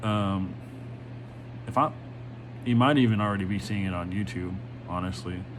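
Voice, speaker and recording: Speaking at a moderate pace, the man is heard with audible room echo and noticeable background noise. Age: 30s. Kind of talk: casual monologue vlog. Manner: halting, many fillers.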